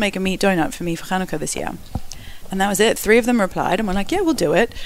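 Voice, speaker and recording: Over noticeable background noise, a woman talks at a very fast pace. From Perth, Australia. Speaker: social media food influencer. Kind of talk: interview. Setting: studio.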